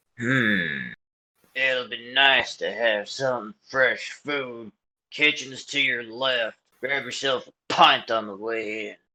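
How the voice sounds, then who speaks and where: Someone does a put-on character voice at a very slow pace, with fairly even intonation. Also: man, medium pitch for a man. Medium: actual play. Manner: brusque.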